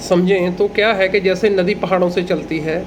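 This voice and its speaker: A man speaks with a Punjabi accent. Noticeable background noise runs underneath. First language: Punjabi (speaking Hindi). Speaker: agricultural educator, livestock and horse expert. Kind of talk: tutorial.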